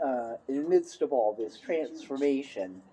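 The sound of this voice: A woman with an extremely low pitch, a dark, mellow tone and a slightly husky edge speaks at a fairly slow pace with lively intonation.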